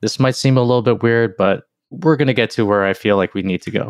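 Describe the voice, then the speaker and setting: Speaking in a normal speaking voice, a man of medium pitch talks at a fairly quick pace with ordinary pitch variation, his sound dry and close with no echo against a quiet background. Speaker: podcast host. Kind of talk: casual interview conversation.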